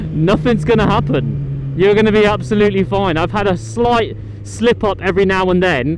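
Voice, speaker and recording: Over noticeable background noise and audible room echo, a man with a British accent talks at a moderate pace. His loudness stays very even. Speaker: motorcycle vlogger. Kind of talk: motovlog commentary while riding. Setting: riding a motorcycle outdoors.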